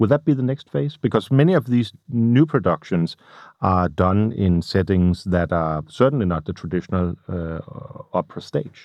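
A man with a Danish accent speaks at a moderate pace in a very deep, low voice, his intonation lively. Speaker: radio interviewer. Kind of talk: interview, partly in a second language. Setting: small studio. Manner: halting, searching for words.

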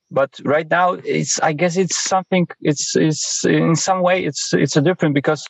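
A man with a Polish accent speaks at a fairly slow pace. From Poland. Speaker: sports journalist. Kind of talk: interview answers. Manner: halting, hesitant.

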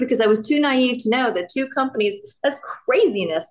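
Noticeable noise behind a woman speaking high in her range. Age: 50s. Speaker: wellness entrepreneur. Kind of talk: casual interview chat. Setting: video call. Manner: animated.

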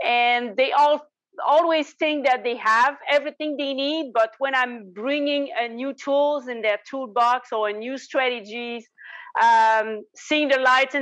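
A high-pitched woman with fairly even intonation. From Quebec, Canada. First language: French. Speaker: tax strategist and business owner. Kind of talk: interview answers.

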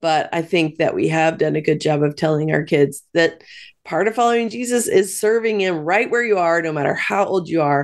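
A woman with an American accent speaks in a normal speaking voice, fairly low in pitch, with lively intonation. Her pace is moderate over a quiet background. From US Midwest. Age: 40s. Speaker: author and speaker. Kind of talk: interview.

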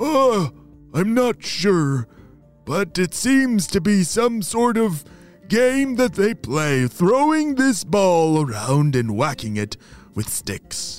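With faint music in the background, a man in a put-on character voice speaks slowly at a high pitch with big pitch swings.

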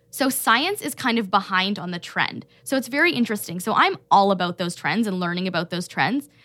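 In an ordinary speaking voice with a Canadian accent, lively intonation and hardly any pauses, the speaker moves at a fairly quick pace. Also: woman, medium pitch for a woman. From Canada, Toronto. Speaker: health coach. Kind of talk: casual chat. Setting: studio.

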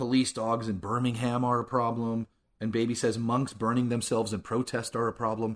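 A man speaks in an ordinary speaking voice at a medium pitch and a moderate pace. The background is quiet. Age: 40s. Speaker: podcast co-host. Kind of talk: casual chat.

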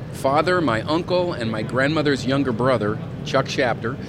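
A man talks with ordinary variation in pitch. Behind him, background noise is noticeable. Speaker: knife company owner. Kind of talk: casual interview.

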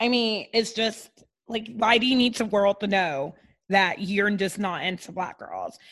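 The speech is loud and fairly slow. Pitch varies in an ordinary way. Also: woman, medium pitch for a woman. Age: 30s. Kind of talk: casual chat.

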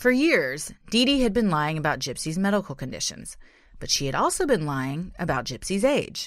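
On a very clean recording with a silent background, a woman speaks at a moderate pace with a medium pitch and vocal fry. Her pitch swings very widely. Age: 30s. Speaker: true crime podcast co-host. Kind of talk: scripted narration; casual chat.

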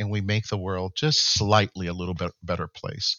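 A man speaks with a fairly low pitch. His pace is moderate. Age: 60s. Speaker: tech company founder. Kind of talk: interview. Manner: halting, many filler words.

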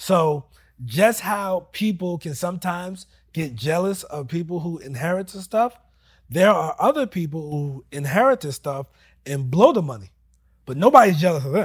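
A man with a high pitch talks at a moderate pace, using lively intonation and big swings in loudness, on a very clean recording with a silent background. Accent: American. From US Northeast, New Jersey. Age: 30s. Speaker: real estate investor. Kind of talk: casual interview. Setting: studio.

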